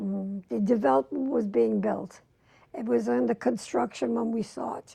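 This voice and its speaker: A woman with an American accent speaks in a very deep, low pitch and a dark, mellow tone, using very wide pitch swings. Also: moderate pace. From New York City. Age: 80s+. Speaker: retired homemaker, longtime suburban resident. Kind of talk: oral history interview answer.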